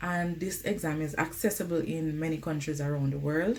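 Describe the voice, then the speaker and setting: A woman speaks with a very deep, low pitch and ordinary pitch variation. Her pace is moderate, and the room echo is audible. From Jamaica. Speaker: nurse vlogger. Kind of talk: casual vlog advice. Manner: conversational, uses um often.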